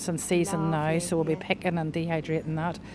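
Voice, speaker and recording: A woman speaks with a Northern Irish accent. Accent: Northern Irish, lilting. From Northern Ireland. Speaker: podcast guest, chef. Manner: chatty, laughs often.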